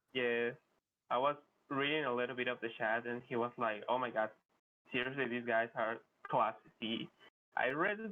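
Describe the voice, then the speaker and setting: This man speaks with a Spanish accent at a medium pitch and a moderate pace. His pitch varies in an ordinary way, and he leaves long, frequent pauses. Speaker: speedrunner competitor. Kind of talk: post-match interview. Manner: halting.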